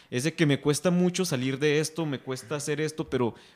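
A man speaks in a normal speaking voice at a fairly quick pace, with ordinary pitch variation. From Mexico. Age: 20s. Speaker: youth group leader, podcast host. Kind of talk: casual panel discussion.

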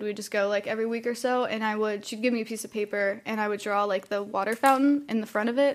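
Recorded very cleanly against a silent background, a woman with an ordinary speaking voice and an American accent talks at a fairly high pitch with fairly even intonation. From US Midwest, Akron area, Ohio. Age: 20s. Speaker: art education student. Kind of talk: casual chat, personal testimony.

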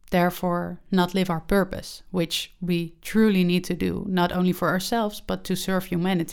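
The speaker has a Dutch accent and a moderate pace. The intonation is monotone and flat. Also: woman, very clean recording, silent background. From Netherlands. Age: 20s. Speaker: podcast host, spiritual coach. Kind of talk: casual monologue.

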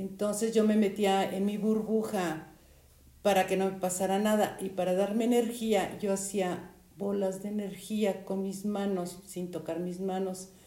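In a Mexican accent, a woman talks at a fairly slow pace with monotone, flat intonation. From Mexico. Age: 70s. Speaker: storyteller sharing life anecdotes. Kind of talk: interview. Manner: halting.

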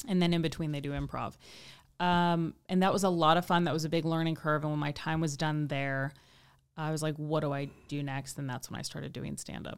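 Very deep and low for a woman, her voice comes through a very clean recording with a silent background, in a Midwestern US accent at a fairly quick pace with fairly even intonation. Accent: General American, Midwestern. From US Midwest, Kansas City. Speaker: stand-up comedian. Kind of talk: casual chat.

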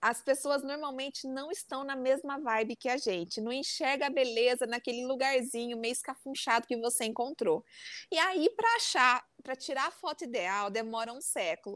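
Speaking at a moderate pace with a strong interior São Paulo accent, a woman with a high voice is heard on a very clean recording with a silent background and a dry, close sound with no echo. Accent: interior São Paulo accent, strong retroflex R. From interior of São Paulo state. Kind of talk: casual chat.

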